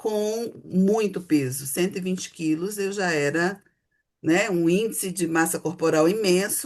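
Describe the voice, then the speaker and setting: Lively in intonation, a woman speaks at a very slow pace. The background is quiet. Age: 60s. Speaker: psychotherapist. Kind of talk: casual chat.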